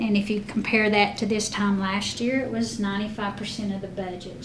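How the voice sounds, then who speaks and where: Over noticeable background noise and audible room echo, a woman speaks at a moderate pace with a medium pitch and monotone, flat intonation. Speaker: school district finance officer. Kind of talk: board meeting financial report. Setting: school board meeting.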